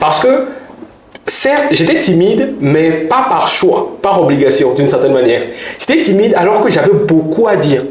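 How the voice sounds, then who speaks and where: Audible room echo over noticeable background noise. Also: man. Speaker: public speaking coach and orator. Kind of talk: interview conversation. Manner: fast.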